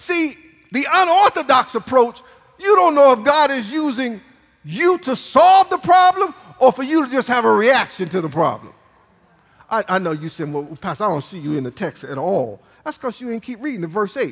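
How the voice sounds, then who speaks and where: A man with an extremely high pitch speaks at a moderate pace, his voice making very wide pitch swings. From Michigan, US. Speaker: pastor. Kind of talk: sermon. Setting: church. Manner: animated.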